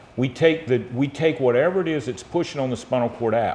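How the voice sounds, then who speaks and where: A man with an American accent speaks at a moderate pace, with medium pitch, ordinary pitch variation, and noticeable background noise behind him. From US South, South Georgia. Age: 50s. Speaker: spine surgeon. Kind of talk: interview, explaining medical topics.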